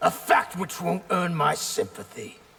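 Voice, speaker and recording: The voice is a raspy, cartoonish character voice. It moves at a moderate pace. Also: man. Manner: fierce, relishing.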